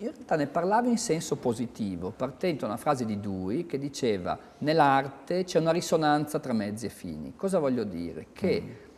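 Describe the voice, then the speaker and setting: Vocal fry marks this man's fairly high voice. He moves at a fairly quick pace with very wide pitch swings. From Italy. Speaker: architect and university professor; university professor. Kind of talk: interview. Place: office.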